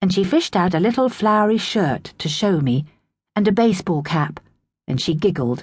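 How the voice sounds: Over a quiet background comes a natural reading voice whose intonation is lively.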